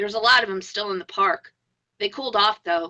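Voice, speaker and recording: A woman puts on a raspy character voice at a medium pitch. She moves along at a fairly quick pace. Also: dry, close sound with no echo. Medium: read story. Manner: flat, plain-spoken.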